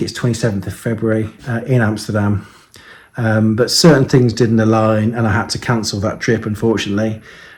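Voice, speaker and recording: With a Birmingham accent, a man speaks in fairly even intonation. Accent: Birmingham English, lasting. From Birmingham, England. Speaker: model aircraft reviewer. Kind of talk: casual video vlog. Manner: hesitant, many fillers.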